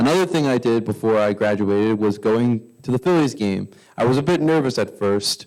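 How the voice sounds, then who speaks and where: In a very clean recording with a silent background, a man with a medium pitch and an American accent talks at a fairly quick pace in a plain, everyday voice, with lively intonation and very even loudness. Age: 20s. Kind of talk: prepared public speech. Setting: council meeting, at microphone.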